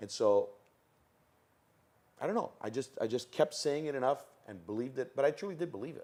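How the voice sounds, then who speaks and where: An animated man with a Toronto accent at a fairly quick pace, with long, frequent pauses and big swings in loudness. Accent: Canadian English (Toronto). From Toronto, Canada, Italian-Calabrian family. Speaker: MC and comedian. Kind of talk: interview.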